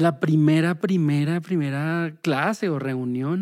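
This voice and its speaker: Ordinary pitch variation in a very clean recording, the background completely silent. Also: man. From Bogotá, Colombia. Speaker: social work lecturer and musician. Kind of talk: interview conversation. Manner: halting, many repetitions.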